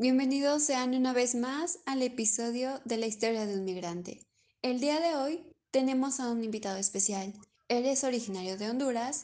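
Moving at a moderate pace, the speech carries a dark, mellow tone. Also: woman. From Mexico. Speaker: podcast host. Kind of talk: interview.

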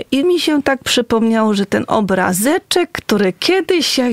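Lively intonation comes through at a fairly slow pace in a dry, close sound with no echo, along with noticeable background noise. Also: woman. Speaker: nun. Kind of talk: casual interview chat. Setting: radio studio.

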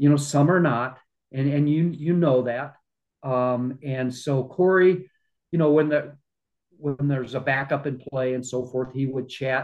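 A man with a Midwestern American accent speaks at a fairly slow pace, his fairly high voice keeping fairly even intonation. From US Midwest, small-town Iowa. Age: 60s. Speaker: retired journalist and amateur golfer. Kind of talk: interview conversation.

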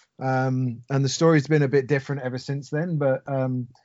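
A man's medium-pitched voice with a London accent, ordinary pitch variation and a fairly quick pace. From London, England. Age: 40s. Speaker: expat sports fan. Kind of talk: podcast interview. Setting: phone call.

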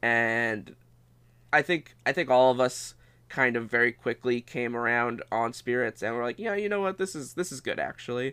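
Lively intonation and a bright, sharp tone mark this man's medium-pitched voice. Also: moderate pace, very clean recording, silent background. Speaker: video game podcast host. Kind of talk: casual chat.

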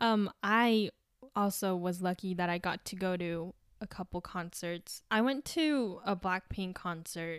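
A woman with a plain, everyday voice, medium pitch, ordinary pitch variation and a fairly slow pace, in a dry, close sound with no echo. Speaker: podcast host. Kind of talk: casual chat. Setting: video call.

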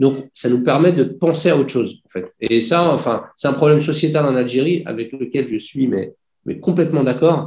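Delivered at a moderate pace, a normal speaking voice moves with ordinary pitch variation. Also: man, fairly high pitch for a man. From France, Paris region. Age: 40s. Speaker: industrial company founder. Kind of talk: interview. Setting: video call.

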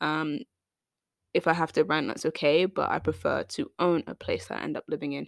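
The speaker has a British accent and talks at a fairly quick pace, recorded dry and close with no echo on a very clean recording with a silent background. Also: woman. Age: 20s. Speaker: podcast host. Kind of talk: casual monologue.

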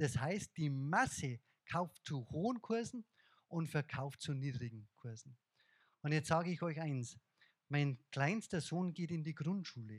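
In a fairly slow, animated, somewhat breathy delivery, a man speaks at a fairly high pitch with lively intonation and a slight Bavarian accent. The sound is dry and close with no echo, and the recording is very clean against a silent background. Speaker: investor and speaker. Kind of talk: lecture.

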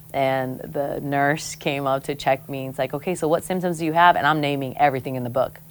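A woman with an American accent speaks at a very fast pace. Her pitch is very deep and low. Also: fairly even intonation. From American Samoa. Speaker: podcast host. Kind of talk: casual chat.

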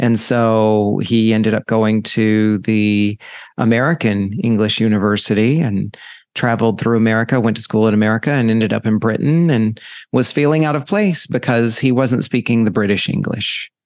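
Against a quiet background, a man with a normal speaking voice talks at a moderate pace and medium pitch, with fairly even intonation and very even loudness. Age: 50s. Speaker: podcast host. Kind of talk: solo reflective monologue. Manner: casual with frequent fillers.

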